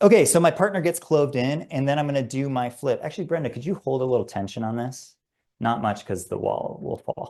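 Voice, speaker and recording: Against a quiet background, a man talks at a fairly quick pace. His pitch is fairly high and his intonation lively. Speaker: climbing guide and instructor. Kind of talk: webinar tutorial. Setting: video webinar. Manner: fast; casual with fillers.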